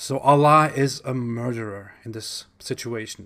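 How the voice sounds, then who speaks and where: In a German accent, this voice comes through a very clean recording with a silent background, a bright, sharp tone, fairly even intonation and a fairly slow pace. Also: man. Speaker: YouTuber, Islam critic. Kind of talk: commentary monologue.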